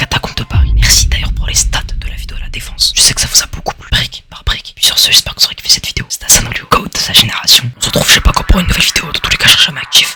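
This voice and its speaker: Whispering at a very fast pace with hardly any pauses, a man shifts widely in loudness over noticeable background noise. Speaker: YouTuber, urban explorer. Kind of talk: video outro. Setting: at home.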